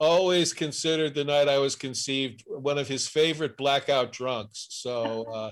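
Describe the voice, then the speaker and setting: An ordinary speaking voice from a man, fairly high in pitch, at a moderate pace with ordinary pitch variation and hardly any pauses. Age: 60s. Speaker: comedian, podcast co-host. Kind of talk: casual chat.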